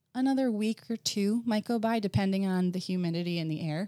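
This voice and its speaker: This woman has a dark, mellow tone, an American accent and a medium pitch. She talks at a moderate pace with lively intonation, and the sound is dry and close with no echo. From New Jersey, US. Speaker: potter and former occupational therapist. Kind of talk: interview conversation.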